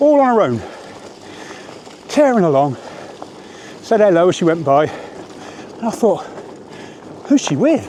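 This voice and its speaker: A man's high-pitched voice at a fairly slow pace, with very wide pitch swings, long and frequent pauses, and noticeable background noise. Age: old. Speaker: cycling vlogger. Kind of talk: casual vlog monologue while riding. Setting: outdoors on a bike.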